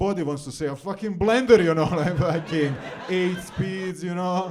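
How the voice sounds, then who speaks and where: Over noticeable background noise, a man speaks at a high pitch with a Serbian accent. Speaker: comedian. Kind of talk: stand-up. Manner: halting, many fillers and repetitions.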